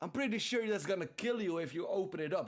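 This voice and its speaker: This man speaks with a Dutch accent and an animated tone. His intonation is lively. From Netherlands. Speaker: streamer. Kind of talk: casual chat.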